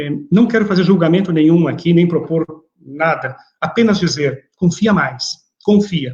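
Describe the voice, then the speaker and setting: At a moderate pace, a man talks in a high pitch. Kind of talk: religious lecture.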